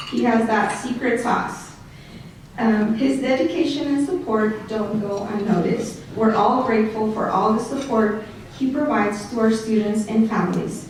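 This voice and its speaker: With a Mexican accent, a woman speaks at a fairly high pitch and a moderate pace, with ordinary pitch variation, amid noticeable background noise and audible room echo. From Mexico. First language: Spanish. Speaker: school programs director. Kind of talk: award introduction speech read from notes. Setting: awards banquet, stage with audience. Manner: halting.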